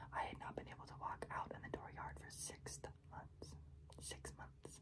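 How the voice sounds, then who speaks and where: Whispering at a moderate pace is heard against noticeable background noise. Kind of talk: reading aloud.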